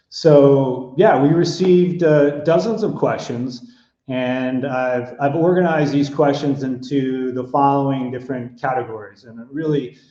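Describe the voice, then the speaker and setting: With an American accent, a man speaks slowly-ish, at a fairly slow pace, in a fairly high pitch with a dark, mellow tone and ordinary pitch variation. His loudness swings widely, and room echo is audible. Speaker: hotel consulting executive. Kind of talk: webinar presentation.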